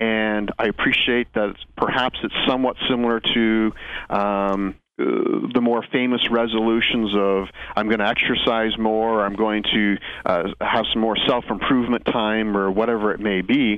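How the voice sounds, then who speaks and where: A man talks at medium pitch and a moderate pace. His intonation is monotone and flat, his loudness very even. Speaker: accountant guest. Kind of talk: radio interview. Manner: hesitant, wordy, formal.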